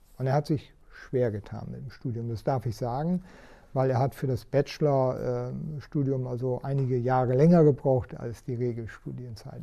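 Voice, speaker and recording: A man's medium-pitched voice, dark and mellow and somewhat breathy, with ordinary pitch variation and a moderate pace. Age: 60s. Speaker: head of a chamber of crafts. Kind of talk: interview. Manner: hesitant with frequent fillers.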